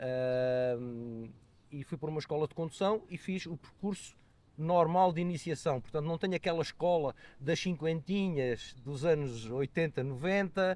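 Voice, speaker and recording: A man with a fairly high voice talks fairly slowly, his pitch moving in an ordinary way. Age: 60s. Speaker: motorcyclist, road safety advocate. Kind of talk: podcast interview. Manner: hesitant, many fillers.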